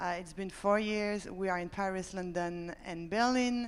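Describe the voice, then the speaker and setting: A woman speaks with a French accent at medium pitch. Her pace is moderate and her intonation fairly even. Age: 30s. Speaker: startup founder. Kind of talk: panel discussion.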